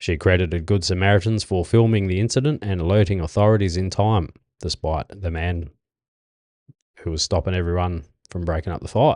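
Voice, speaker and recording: Speaking in an Australian accent at a fairly quick pace, a man with a very deep, low pitch and ordinary pitch variation sounds dry and close with no echo against a quiet background. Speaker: podcast host. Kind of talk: reading news stories aloud with casual asides. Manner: halting, stumbling over words.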